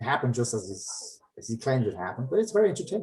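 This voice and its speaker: A man with a German accent, medium pitch and a dark, mellow tone, somewhat breathy. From Germany, later Finland; Yugoslav parents. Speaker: comic artist and finance professional. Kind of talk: casual chat. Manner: halting.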